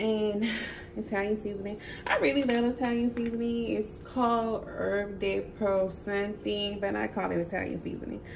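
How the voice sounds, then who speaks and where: Noticeable background noise sits behind a woman speaking at a medium pitch and a moderate pace with fairly even intonation. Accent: strong Southern US. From Mississippi. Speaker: home cook. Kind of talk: casual cooking talk to camera.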